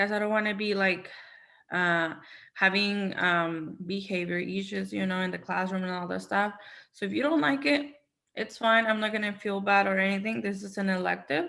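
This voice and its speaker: A woman's bright, sharp tone with a Spanish accent, at a moderate pace with ordinary pitch variation. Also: medium pitch for a woman. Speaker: Spanish teacher. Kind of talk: casual discussion.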